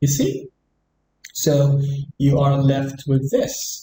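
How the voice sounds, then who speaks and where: A man with an Arabic accent talks very slowly in a dark, mellow, somewhat breathy tone, his pitch fairly high. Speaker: English teacher. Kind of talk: tutorial.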